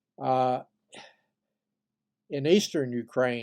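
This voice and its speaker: At a very slow pace, a man speaks at a medium pitch over a quiet background. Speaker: history commentator. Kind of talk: casual talk to camera. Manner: hesitant, with frequent fillers.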